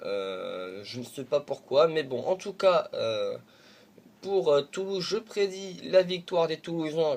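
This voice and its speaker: Here a man speaks at a very slow pace. His voice is fairly high, and his intonation is lively. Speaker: football YouTuber. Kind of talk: football predictions monologue. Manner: halting, stammering with many fillers.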